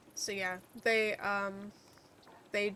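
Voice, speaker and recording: A soft-spoken woman at a very slow pace, with monotone, flat intonation. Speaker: gaming streamer. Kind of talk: casual chat. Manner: halting.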